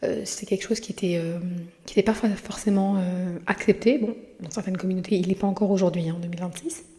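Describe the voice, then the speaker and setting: A woman's dark, mellow, somewhat breathy voice with fairly even intonation. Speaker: podcast host; mother. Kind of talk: casual monologue. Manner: halting, many hesitations.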